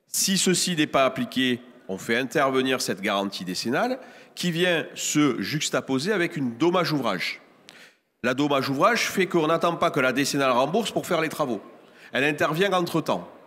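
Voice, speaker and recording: In a southern French accent, a man speaks at a moderate pace with a fairly high pitch, very wide pitch swings, vocal fry and a bright, sharp tone, on a very clean recording with a silent background. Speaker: real estate professional on a conference panel. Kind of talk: panel talk at a trade fair conference.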